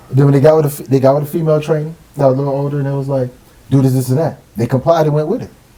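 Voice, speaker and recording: This man speaks at a very fast pace with a fairly high pitch. His tone is dark and mellow and somewhat breathy. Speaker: military veteran. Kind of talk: casual chat. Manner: animated.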